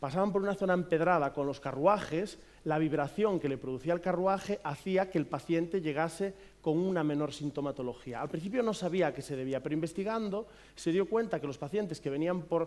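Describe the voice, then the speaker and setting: In a Galician accent, a man speaks at a fairly quick pace. His voice is high-pitched, with ordinary pitch variation. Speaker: physiotherapist. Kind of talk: conference talk. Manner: hesitant, many fillers.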